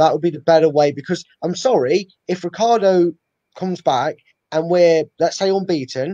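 Here a man speaks at a moderate pace in a dark, mellow tone. His pitch is fairly high, with ordinary variation.

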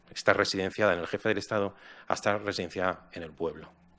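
The man's voice sits fairly low in pitch, with a bright, sharp tone. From Spain. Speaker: philosopher and foundation director; speaker. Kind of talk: panel discussion. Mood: reflective, calm. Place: hall. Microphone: podium.

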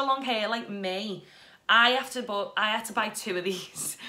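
Here a woman speaks in a British accent. Her intonation is fairly even. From UK. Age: 30s. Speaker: beauty and lifestyle vlogger; lifestyle vlogger. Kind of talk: product review vlog. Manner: casual, chatty. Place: home room. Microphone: phone near.

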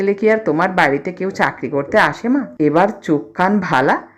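The speaker is reading aloud. It sounds natural.

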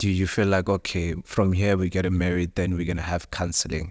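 A man talks at a fairly quick pace with a very deep, low pitch. His intonation is monotone and flat over a quiet background. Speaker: podcast host. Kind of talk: interview. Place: studio.

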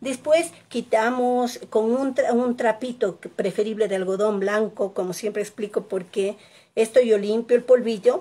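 A woman with an unremarkable speaking voice and a fairly high pitch talks at a fairly slow pace. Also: ordinary pitch variation. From Ecuador, Quito; Ecuador. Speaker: painting teacher. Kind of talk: live tutorial. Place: home room. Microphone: phone near.

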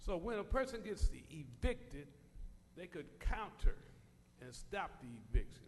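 A man with an American accent speaks at a high pitch, with very wide pitch swings and big swings in loudness. His pace is fairly slow with long, frequent pauses, and room echo is audible. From US West Coast (Compton, California). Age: 60s. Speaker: public commenter. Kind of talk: public comment at council meeting. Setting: city council chamber.

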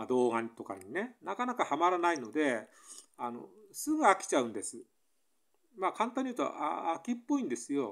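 Speaking at a fairly quick pace, a high-pitched man makes very wide pitch swings and big swings in loudness. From Japan. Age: 60s. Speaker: vlogger. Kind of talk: casual solo monologue. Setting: at home, solo video. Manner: halting, rambling, many fillers. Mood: musing, slightly troubled. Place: home room. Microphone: phone near.

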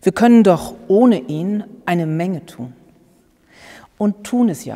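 Against a quiet background, a woman talks in a dark, mellow tone. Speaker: pastor. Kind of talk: sermon. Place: church.

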